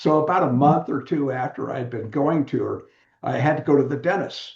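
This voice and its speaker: A man's somewhat breathy, fairly high voice in a General American accent, fairly quick, with ordinary pitch variation. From US West Coast, San Diego. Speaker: author and widower support mentor. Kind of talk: interview conversation.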